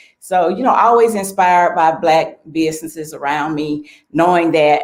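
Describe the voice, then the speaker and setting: The speaker, with an Alabama accent, uses ordinary pitch variation. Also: woman. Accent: Southern US (Alabama). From US South, Selma, Alabama. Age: 60s. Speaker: small business owner. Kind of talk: interview.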